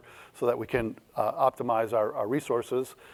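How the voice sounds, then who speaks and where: Recorded very cleanly against a silent background, a man speaks at a medium pitch. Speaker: keynote speaker, data strategy consultant and author. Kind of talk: keynote talk. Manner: fast.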